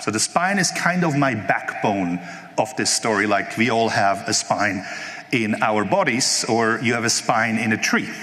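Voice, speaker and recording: Over noticeable background noise and audible room echo, a man with a medium pitch speaks with lively intonation at a very even loudness. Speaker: conference speaker, network engineer. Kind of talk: technical conference talk. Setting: stage with live audience. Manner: fast.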